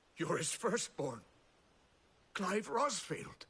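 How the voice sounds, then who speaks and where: Putting on a character voice, a man speaks in a raspy, high pitch. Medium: video game. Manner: warm, respectful, wistful.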